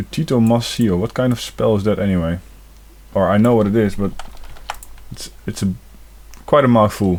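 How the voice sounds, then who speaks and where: A man speaks with a non-native accent at a fairly low pitch and a moderate pace. His pitch varies in an ordinary way, with long, frequent pauses. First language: not English. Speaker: gaming video creator. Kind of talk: let's play commentary. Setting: home recording with facecam. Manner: casual, hesitant.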